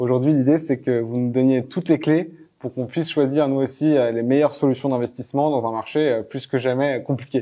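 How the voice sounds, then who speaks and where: A man's dark, mellow voice at a medium pitch, fairly quick in pace and fairly even in intonation. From France. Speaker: podcast host, startup cofounder. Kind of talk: interview. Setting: bank office in Paris.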